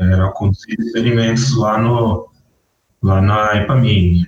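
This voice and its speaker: Pitch variation is ordinary in an ordinary speaking voice. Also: man. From northern Minas Gerais, Brazil. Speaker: agronomist in irrigation. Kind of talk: interview.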